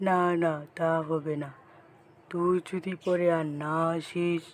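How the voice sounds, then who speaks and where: A man bellows in a cartoonish character voice at a high pitch. His intonation stays monotone and flat. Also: moderate pace. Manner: roaring, blustering.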